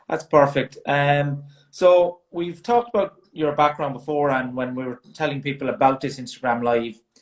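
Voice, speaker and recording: With a strong Irish accent, a man talks at a moderate pace and a fairly high pitch, using ordinary pitch variation. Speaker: sports science consultant, live stream host. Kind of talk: live-stream interview. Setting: Instagram Live video stream.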